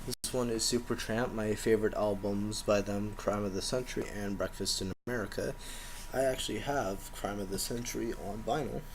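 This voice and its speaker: A man speaks in a soft-spoken way. His pitch sits fairly low. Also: fairly even intonation, moderate pace. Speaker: collector showing his collection. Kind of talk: casual show-and-tell video.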